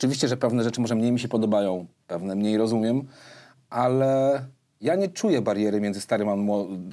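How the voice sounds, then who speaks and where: This man speaks at a fairly quick pace with medium pitch and ordinary pitch variation, in an ordinary speaking voice. The recording is very clean, with a silent background. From Warsaw, Poland. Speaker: podcast host and rapper. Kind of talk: casual interview chat; podcast outro.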